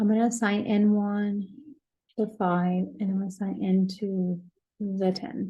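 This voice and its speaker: The voice is somewhat breathy with a dark, mellow tone, monotone, flat intonation and a fairly slow pace, heard with audible room echo. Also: woman, medium pitch for a woman. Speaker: professor. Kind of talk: lecture.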